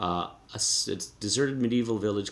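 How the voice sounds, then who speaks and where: A man speaks with a Canadian accent. There is audible room echo. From Canada. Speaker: professor. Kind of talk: lecture. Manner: halting.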